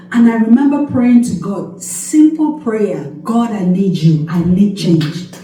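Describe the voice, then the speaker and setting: Speaking at a fairly slow pace with hardly any pauses, a woman uses an animated tone, medium pitch and very wide pitch swings, with audible room echo and noticeable background noise. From Cameroon. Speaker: nurse and health coach. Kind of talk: testimony. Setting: church, speaking to congregation. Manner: animated, emphatic.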